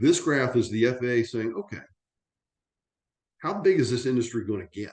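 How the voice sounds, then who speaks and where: A man with a plain, everyday voice speaks at a moderate pace and a medium pitch, his intonation lively. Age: 60s. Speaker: aviation industry veteran presenting on drones. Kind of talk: webinar presentation. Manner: conversational with frequent fillers and restarts.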